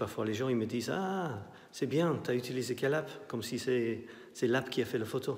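Speaking with a Scottish accent, a man talks at a moderate pace with ordinary pitch variation. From Scotland. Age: 50s. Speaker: artist and photographer. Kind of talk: guided tour of his exhibition. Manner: halting. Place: hall. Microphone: phone near.

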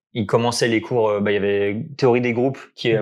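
Over a quiet background, a man talks at a fairly quick pace in a fairly low pitch with monotone, flat intonation. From France near Geneva; France. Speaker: maths graduate; interviewee. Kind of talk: casual interview. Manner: halting. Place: home room. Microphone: lapel.

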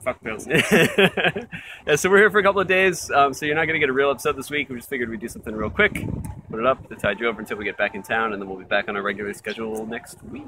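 Over noticeable background noise, a man talks at a very fast pace with big swings in loudness, the sound dry with no echo. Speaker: beer reviewer. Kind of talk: casual vlog chat. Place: garden. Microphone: phone near.

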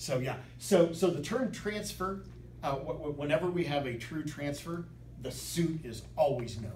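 With vocal fry, a man speaks amid audible room echo and light background noise. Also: ordinary pitch variation, moderate pace. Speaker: bridge teacher. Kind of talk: lecture. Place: classroom. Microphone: camera far.

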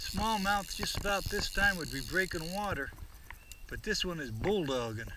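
Delivered at a fairly slow pace, the speech sounds dry with no echo, though noticeable background noise runs underneath. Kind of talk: excited commentary while fishing. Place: waterside. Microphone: phone near.

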